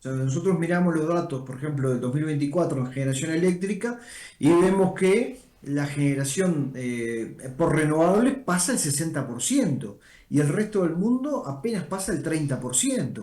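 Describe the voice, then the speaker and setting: A man with a Rioplatense accent and a fairly high pitch, very wide pitch swings, and audible room echo. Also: moderate pace. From Uruguay. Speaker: energy organization director. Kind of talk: interview.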